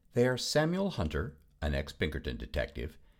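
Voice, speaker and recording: A man is speaking at a moderate pace. His voice has vocal fry. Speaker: announcer. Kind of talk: scripted announcement, intro and credits.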